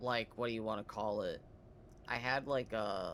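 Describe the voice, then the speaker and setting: A man speaks with an American accent in a normal speaking voice, his pitch fairly low. His pitch varies in an ordinary way, and his pace is moderate. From US, Wisconsin. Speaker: gaming streamer. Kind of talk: casual chat. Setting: live stream. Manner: casual, filler-heavy.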